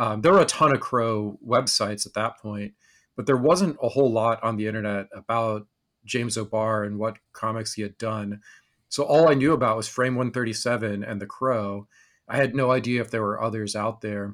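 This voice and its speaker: In a very clean recording with a silent background, a man with an American accent uses a normal speaking voice, medium in pitch, at a moderate pace with fairly even intonation. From rural Texas and Wyoming. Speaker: podcast host. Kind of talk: casual interview chat.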